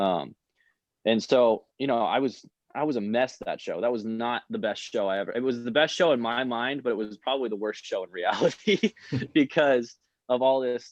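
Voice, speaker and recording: Against a quiet background, a man with an American accent speaks at a moderate pace, his medium pitch showing ordinary variation. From California, USA. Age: 20s. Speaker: musician and bartender. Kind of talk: interview answer. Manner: casual, hesitant, many fillers.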